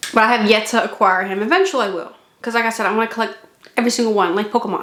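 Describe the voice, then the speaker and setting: In a room with audible echo, a woman speaks at a fairly high pitch with ordinary pitch variation. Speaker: model kit reviewer. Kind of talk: product review vlog. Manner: casual, chatty.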